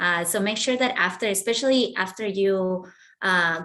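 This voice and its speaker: A woman speaks at a medium pitch. She has a plain, everyday voice. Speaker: pitch coach. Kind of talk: feedback critique.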